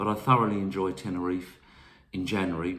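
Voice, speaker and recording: A man speaks in a southern English accent. Room echo is audible. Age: 60s. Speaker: travel vlogger. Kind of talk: casual talk to camera. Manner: hesitant, many fillers.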